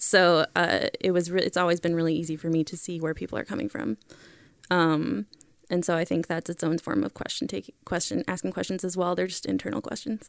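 A woman with an American accent talks at a fairly quick pace, in a normal speaking voice with fairly low pitch and lively intonation. The sound is dry and close with no echo, on a very clean recording with a silent background. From Germany until age 8, then US. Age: 20s. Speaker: author. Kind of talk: podcast interview.

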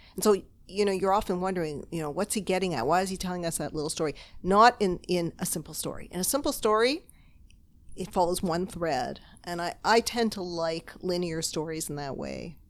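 A woman with a Canadian accent talks fairly quickly in a normal speaking voice, fairly low in pitch with ordinary pitch variation, in a very clean recording with a silent background. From Toronto, Canada. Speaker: novelist and literature professor. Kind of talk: casual interview chat. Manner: laughs often.

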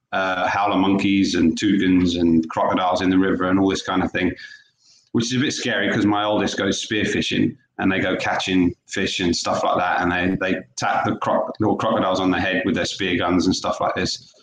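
In an East Anglian accent, a man with a very deep, low pitch speaks at a fairly quick pace, his intonation monotone and flat and his loudness very even. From Norfolk, England. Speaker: former professional footballer. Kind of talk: interview.

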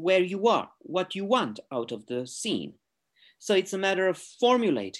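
Pitch rises and falls very widely as the words come at a moderate pace. Nothing else can be heard in the quiet background. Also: man. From Romania. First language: Romanian. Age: 40s. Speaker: artist. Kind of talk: interview. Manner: halting.

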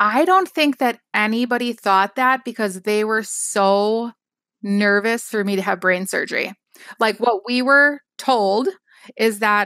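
A woman with an Upper Midwest accent talks at a fairly slow pace in a fairly high voice with ordinary pitch variation, the sound dry and close with no echo. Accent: Upper Midwest American. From Wisconsin, US Upper Midwest. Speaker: scrapbook product designer and company founder. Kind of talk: casual interview. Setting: remote call.

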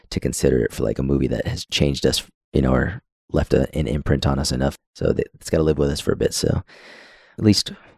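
Vocal fry marks a man's very fast speech, which has ordinary pitch variation and a dry, close sound with no echo. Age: 30s. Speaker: podcast host. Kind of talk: casual chat.

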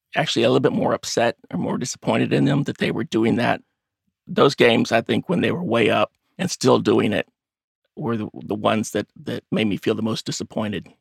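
A man with an American accent at a moderate pace, the sound dry and close with no echo. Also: long, frequent pauses. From Texas, Baytown near Houston. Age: 50s. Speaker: web developer and amateur investigator. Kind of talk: interview.

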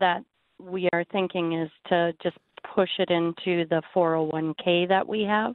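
A woman speaks in an ordinary speaking voice at a fairly low pitch, with fairly even intonation and a fairly slow pace.

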